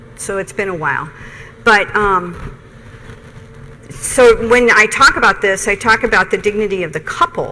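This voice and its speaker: Speech comes at a fairly slow pace with ordinary pitch variation over noticeable background noise. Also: woman. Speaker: nursing professor. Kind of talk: lecture.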